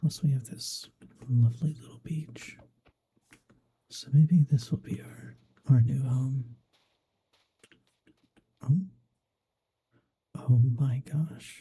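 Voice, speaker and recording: Soft-spoken and somewhat breathy, a man with a dark, mellow tone talks at a medium pitch, very slowly, with fairly even intonation. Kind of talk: ASMR gaming commentary.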